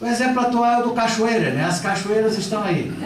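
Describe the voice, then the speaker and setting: Audible room echo and noticeable background noise surround the voice of a man. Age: 60s. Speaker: politician and lecturer. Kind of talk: lecture. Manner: conversational, with repetitions.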